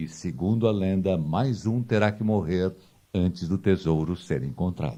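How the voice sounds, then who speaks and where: The tone is dark and mellow. Delivery is fairly slow, with ordinary pitch variation. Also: man, very deep, low pitch for a man. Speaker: documentary narrator. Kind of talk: documentary narration.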